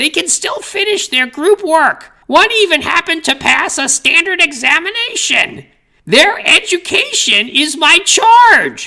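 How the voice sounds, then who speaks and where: A female-sounding put-on character voice, extremely high-pitched, at a fairly slow pace. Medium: read story. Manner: condescending, preachy.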